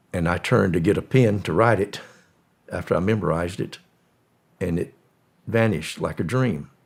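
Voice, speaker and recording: A man with a Southern US accent speaks with ordinary pitch variation. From US South, Florida. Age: 80s+. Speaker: former drug smuggler. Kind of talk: interview storytelling.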